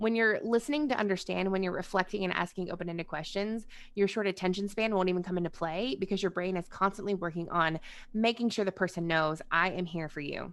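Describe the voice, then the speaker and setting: Speaking at a very fast pace, a woman uses a medium pitch and ordinary pitch variation. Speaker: crisis counselor and trainer. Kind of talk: webinar lecture. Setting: video call.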